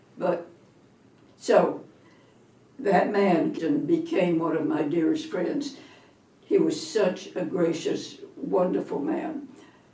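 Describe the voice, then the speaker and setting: With audible room echo, a woman in an American accent speaks at a very slow pace and medium pitch, using very wide pitch swings and long, frequent pauses. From US South, Atlanta, Georgia. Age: 80s+. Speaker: retired minister. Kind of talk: interview testimony.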